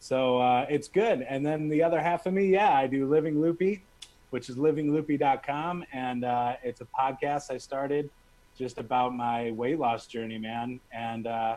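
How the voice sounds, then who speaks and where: A man talks at a moderate pace with medium pitch and ordinary pitch variation. He has an unremarkable speaking voice. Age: 40s. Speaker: musician. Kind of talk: casual interview. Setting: live stream.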